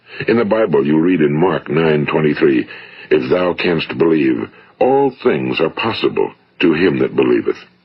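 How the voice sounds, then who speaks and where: With an American accent, the speaker has a resonant voice, a moderate pace and lively intonation. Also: man. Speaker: motivational speaker and broadcaster. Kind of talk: motivational speech. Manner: compelling, thought-provoking.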